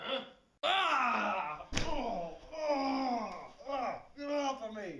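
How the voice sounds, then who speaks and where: A man's put-on character voice, extremely high-pitched, raised and projected, very slow, with long, frequent pauses. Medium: short film.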